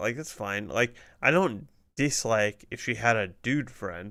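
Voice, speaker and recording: The voice is bright and sharp with lively intonation at a moderate pace. The recording is very clean with a silent background. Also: man. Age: 30s. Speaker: streamer. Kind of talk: casual chat. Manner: casual, conversational.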